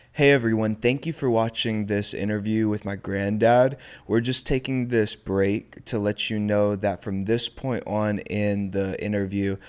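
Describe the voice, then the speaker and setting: In a very clean recording with a silent background, a speaker with an American accent and an unremarkable speaking voice talks at a fairly slow pace, with fairly even intonation and hardly any pauses. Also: man, fairly low pitch for a man. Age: 20s. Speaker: podcast host. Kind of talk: interview; direct address to viewers.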